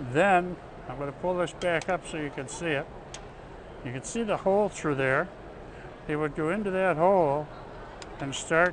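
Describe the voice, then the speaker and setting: With noticeable background noise, a man speaks with long, frequent pauses. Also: dry sound with no echo. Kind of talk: demonstration explanation. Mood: cheerful, amused. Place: hall. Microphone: lapel.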